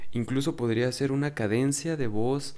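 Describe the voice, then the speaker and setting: The voice is a man's, pitched in the medium range. It has a dark, mellow tone. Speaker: ASMR youtuber. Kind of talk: casual intro before reading aloud. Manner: normal speaking voice, not whispered; hesitant, with many fillers.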